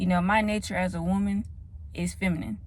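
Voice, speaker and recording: A woman speaks with an American accent, and some room echo can be heard. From US South, Atlanta. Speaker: vlogger. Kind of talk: casual vlog monologue. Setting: in a car.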